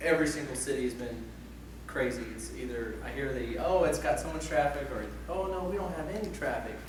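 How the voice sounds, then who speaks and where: Amid audible room echo and noticeable background noise, a man speaks at a fairly quick pace. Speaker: security professional, conference speaker. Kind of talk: conference talk. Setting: conference room with audience. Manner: loud; casual, chatty.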